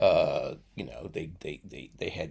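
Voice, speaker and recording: Moderate pacing from a man, captured in a very clean recording against a silent background. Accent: New York. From New York (Brooklyn, Long Island). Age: 70s. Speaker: retired teacher. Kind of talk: casual interview chat. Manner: halting, many fillers and restarts.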